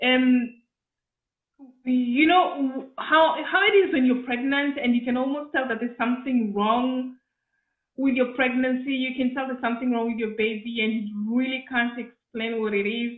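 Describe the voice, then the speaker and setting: Speaking at a moderate pace, a woman has a high pitch and ordinary pitch variation. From Kenya, Nairobi. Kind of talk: interview.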